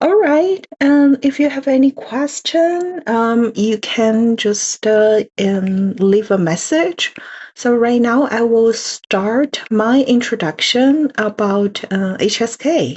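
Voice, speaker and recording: A woman speaks with a Chinese accent at a fairly high pitch and a very slow pace. Her loudness stays very even, her intonation is lively, and she hardly pauses at all. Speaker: language course presenter. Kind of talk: online info session presentation. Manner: halting, many fillers.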